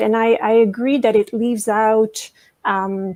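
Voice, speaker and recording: In a French-Canadian accent, a woman speaks at a fairly slow pace with a fairly high pitch. Her pitch varies in an ordinary way, and the sound is dry and close with no echo. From Quebec, Canada. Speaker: professor and dramaturg. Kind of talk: panel discussion. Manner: halting, with repetitions.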